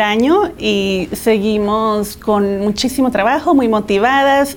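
A woman speaks very slowly in a fairly high voice with ordinary pitch variation. Noticeable background noise runs behind her. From Mexico (Guadalajara, Jalisco) and California. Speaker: entrepreneur, business owner. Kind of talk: interview.

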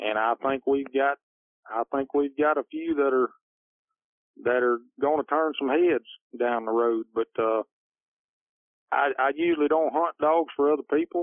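A man with a Louisiana accent speaks at a moderate pace in a fairly high voice, with fairly even intonation. He leaves long, frequent pauses. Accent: US Southern (Louisiana). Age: 40s. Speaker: plumber and competition coon hunter. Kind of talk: casual interview. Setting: phone call.

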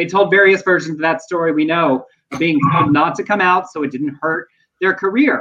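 At a moderate pace, a man with an American accent speaks in a high pitch with a bright, sharp tone. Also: ordinary pitch variation. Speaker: podcast host. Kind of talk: casual chat. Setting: video livestream. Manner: animated.

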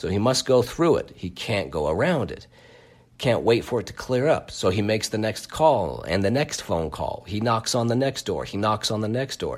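A man speaks in a playful tone with lively intonation and vocal fry. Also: medium pitch for a man, moderate pace. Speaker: podcast host. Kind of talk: solo podcast monologue, ending in a pep talk. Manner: conversational and playful.

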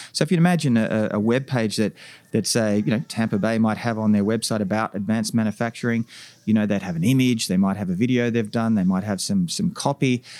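On a very clean recording with a silent background, a man with an Australian accent speaks very fast at medium pitch with ordinary pitch variation. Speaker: tech company founder and CEO. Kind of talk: interview. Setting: conference venue.

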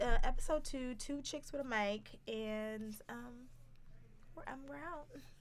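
Very slowly, a woman speaks at a fairly high pitch with very wide pitch swings and big swings in loudness. Audible room echo surrounds her. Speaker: podcast host. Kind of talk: casual chat.

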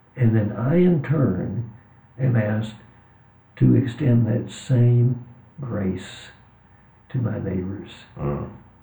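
The speaker has a dark, mellow tone with vocal fry, at a very slow pace with long, frequent pauses. Audible room echo surrounds the voice. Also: man, medium pitch for a man, lively intonation. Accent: Texan. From US, West Texas. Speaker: author and religion professor. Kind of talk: interview conversation.

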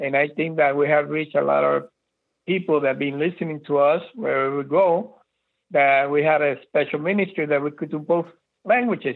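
With an unremarkable speaking voice, a man talks at a moderate pace in a fairly high pitch and fairly even intonation. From Lawrence, Massachusetts, raised from age seven, born in Puerto Rico. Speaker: church minister. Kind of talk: testimony. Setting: phone call.

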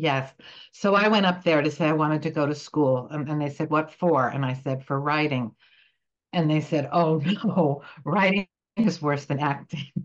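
A woman with a very deep, low voice speaks in an American accent at a moderate pace with ordinary pitch variation. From New Jersey. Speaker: playwright and actor. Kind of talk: interview. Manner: halting.

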